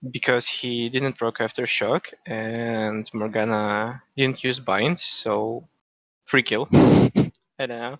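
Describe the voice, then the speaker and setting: Someone with a non-native accent speaks very slowly with fairly even intonation, in a dry, close sound with no echo. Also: man, medium pitch for a man. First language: not English. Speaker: gamer being coached. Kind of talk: coaching session. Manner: halting.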